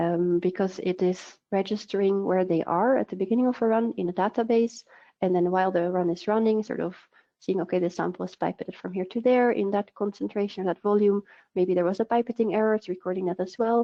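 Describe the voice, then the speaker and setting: Her pitch medium and her intonation fairly even, a woman talks at a very fast pace. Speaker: product manager. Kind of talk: webinar presentation. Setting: online webinar. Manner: hesitant with fillers.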